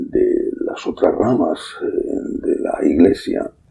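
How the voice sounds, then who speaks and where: A man is speaking. His pace is very slow. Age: 60s. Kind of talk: sermon.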